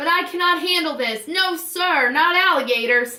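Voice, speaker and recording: Shouting in a put-on character voice, a woman with an extremely high pitch uses lively intonation at a moderate pace. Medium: read story.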